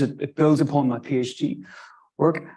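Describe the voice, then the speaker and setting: A man with a Northern Irish accent speaks in a dark, mellow tone at a fairly high pitch. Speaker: archaeology lecturer. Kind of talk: lecture. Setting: lecture room with live stream. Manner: halting.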